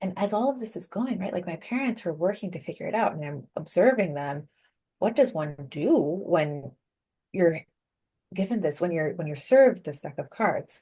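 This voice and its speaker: A woman's fairly low, somewhat breathy voice with a dark, mellow tone, very wide pitch swings, big swings in loudness and a moderate pace. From Venezuela, raised in the US from age five. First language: Spanish. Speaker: productivity coach and keynote speaker. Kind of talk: interview. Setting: podcast interview.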